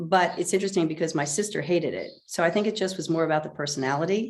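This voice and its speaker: The voice moves at a very fast pace with fairly even intonation. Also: woman. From United States, moved around. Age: 60s. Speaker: author. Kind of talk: interview.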